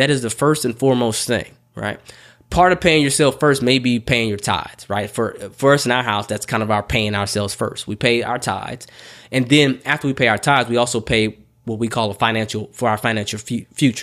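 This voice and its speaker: With a normal speaking voice, this man talks fairly quickly. His pitch is medium, and its variation is ordinary. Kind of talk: pep talk.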